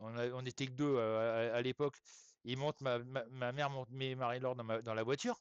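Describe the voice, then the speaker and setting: At a moderate pace, a man talks in a medium-pitched voice with fairly even intonation. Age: 60s. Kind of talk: live stream chat. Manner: hesitant, many fillers; casual, colloquial.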